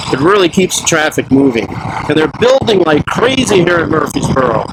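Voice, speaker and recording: Noticeable background noise sits behind a man speaking. He talks at a fairly quick pace with lively intonation. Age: 60s. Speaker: motovlogger, retiree. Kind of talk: casual vlog narration while riding. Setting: outdoors on a motorcycle, helmet camera.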